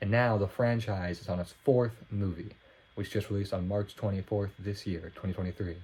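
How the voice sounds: This man speaks at a fairly low pitch, his tone slightly mellow and nasal, with fairly even intonation. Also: moderate pace.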